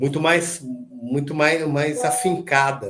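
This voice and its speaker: A man speaks in a fairly high, somewhat breathy voice. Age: 60s. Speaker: metal band vocalist. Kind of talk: casual interview chat. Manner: halting, many repetitions and fillers.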